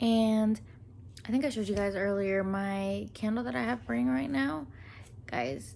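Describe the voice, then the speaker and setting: Very wide pitch swings run through the speech. Audible room echo fills the recording. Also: woman. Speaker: book vlogger. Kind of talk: casual vlog talk.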